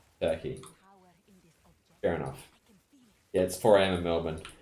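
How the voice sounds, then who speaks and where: With audible room echo around him, a man speaks at a fairly quick pace in a very deep, low voice of dark, mellow tone. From Australia (Perth). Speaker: video game streamer. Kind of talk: casual chat.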